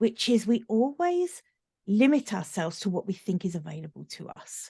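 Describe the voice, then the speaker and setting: A woman with a British accent and a medium-pitched, somewhat breathy voice of dark, mellow tone, at a moderate pace with very wide pitch swings and big swings in loudness, in a dry, close sound with no echo. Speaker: business coach. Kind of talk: podcast interview.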